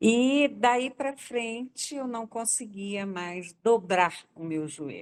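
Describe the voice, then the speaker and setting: Against a quiet background, a woman speaks at a fairly high pitch and a very slow pace. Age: 80s+. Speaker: customer giving a testimonial. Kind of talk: testimony.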